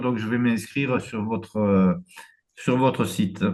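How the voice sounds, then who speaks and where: Here a man speaks at a very slow pace. His medium-pitched voice keeps fairly even intonation. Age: 70s. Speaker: webinar participant, smoker. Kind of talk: audience question. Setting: online webinar.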